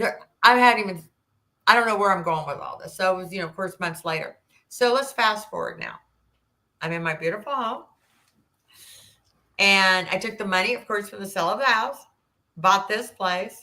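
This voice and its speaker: A woman with a bright, sharp tone and a medium pitch speaks at a moderate pace, with ordinary pitch variation, big swings in loudness and long, frequent pauses. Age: 60s. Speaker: military veteran and abuse survivor. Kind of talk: podcast interview storytelling. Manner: halting with many fillers.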